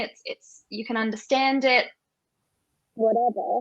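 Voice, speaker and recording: Against a quiet background, a woman with an Australian accent speaks in a fairly high voice with fairly even intonation. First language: Auslan (sign language). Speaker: sign language expert. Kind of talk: panel discussion.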